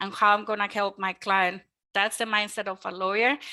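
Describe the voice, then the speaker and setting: Her tone is bright and sharp, with a Mexican accent. This woman's medium pitch stays monotone and flat. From Mexico. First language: Spanish. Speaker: mortgage lender. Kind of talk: webinar presentation. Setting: online webinar. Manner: hesitant with many fillers.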